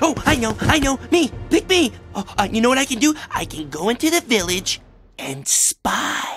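The voice has a fairly high pitch and moves at a moderate pace. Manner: excitable, childish, eager.

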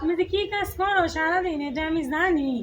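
A woman uses a put-on character voice, squeaky and extremely high in pitch. She talks at a moderate pace over noticeable background noise. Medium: short film. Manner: complaining.

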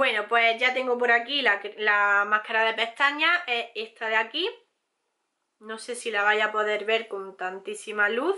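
Against a quiet background, a woman talks at a fairly slow pace with a fairly high pitch and ordinary pitch variation. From Spain. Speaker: beauty youtuber; beauty vlogger. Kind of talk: product haul review; casual vlog chat. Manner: hesitant, many fillers. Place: home room.

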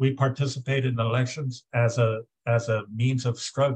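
A somewhat breathy man speaks in a monotone, flat intonation. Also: quiet background. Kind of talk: political discussion remarks. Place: home room. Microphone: video call.

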